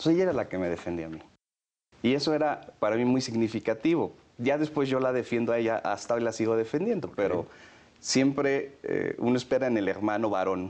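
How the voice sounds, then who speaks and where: A man speaks at a fairly quick pace, his intonation lively. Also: medium pitch for a man. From Mexico, San Luis Potosí. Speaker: federal police commissioner. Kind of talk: interview. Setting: office. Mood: warm, reminiscing, smiling. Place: office. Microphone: lapel.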